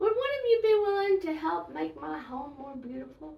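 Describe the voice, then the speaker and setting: Putting on a squeaky character voice at a high pitch, a woman speaks at a moderate pace. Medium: read story. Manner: polite, gentle.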